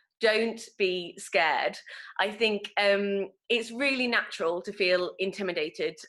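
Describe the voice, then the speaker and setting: A woman with an East Midlands accent speaks in a bright, sharp tone with ordinary pitch variation. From Nottingham, England. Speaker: actor. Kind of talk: online workshop teaching. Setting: online video call.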